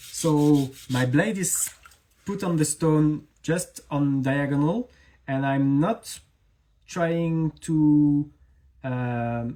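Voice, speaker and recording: The speech comes at a very slow pace with a slight French accent. Long pauses break it up frequently. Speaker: knife maker. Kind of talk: live stream tutorial chat. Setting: Instagram live stream. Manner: halting.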